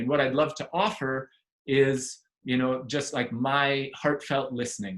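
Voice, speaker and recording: Moderate-tempo speech from a man, fairly high in pitch. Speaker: community network facilitator. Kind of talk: online group presentation. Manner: animated.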